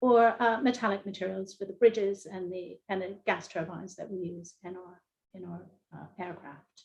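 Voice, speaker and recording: Speaking with an American accent, a woman of medium pitch holds fairly even intonation at a moderate pace while her loudness swings widely. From US, Philadelphia. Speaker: engineering professor. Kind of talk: panel discussion. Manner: hesitant, many fillers.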